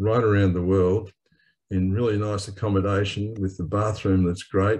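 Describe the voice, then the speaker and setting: A man with an Australian accent speaks at a moderate pace in a somewhat breathy, fairly low voice with a dark, mellow tone and monotone, flat intonation, against a quiet background. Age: 70s. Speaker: webinar panellist, wheelchair traveller. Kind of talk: panel discussion.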